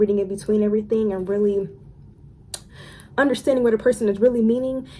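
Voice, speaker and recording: The tone of this woman's voice is dark and mellow. It sits at a medium pitch. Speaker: lifestyle and spirituality YouTuber. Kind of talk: casual storytime monologue. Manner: stumbling, stuttering over words; animated.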